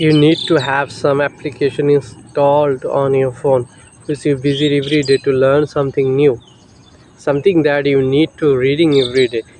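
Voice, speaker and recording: With a Bengali accent, the speaker keeps a monotone, flat intonation at a moderate pace over noticeable background noise. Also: man, fairly high pitch for a man. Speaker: English teacher. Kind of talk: tutorial. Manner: halting.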